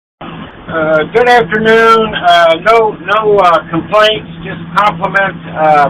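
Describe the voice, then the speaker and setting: Over noticeable background noise, a man speaks at a very slow pace in a raised, projected voice, high pitched with ordinary pitch variation. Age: 60s. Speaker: military veteran, caller. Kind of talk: phone-in call. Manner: halting, many fillers.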